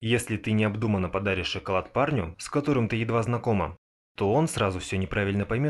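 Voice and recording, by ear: The background stays quiet. The text is read aloud in a natural voice with pitch that varies in an ordinary way.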